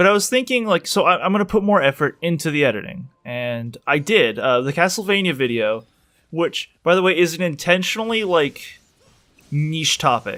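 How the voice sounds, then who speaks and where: Pitch high, a man speaks with an American accent. His voice moves through very wide pitch swings. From San Francisco Bay Area, US. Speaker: YouTuber, video essayist. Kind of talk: unscripted casual monologue. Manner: fast.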